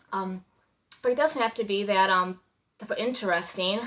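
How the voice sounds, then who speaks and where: Her tone is bright and sharp, her pitch medium. This woman keeps a moderate pace with ordinary pitch variation. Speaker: mother, lifestyle vlogger. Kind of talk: casual talk to camera. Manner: hesitant, many fillers.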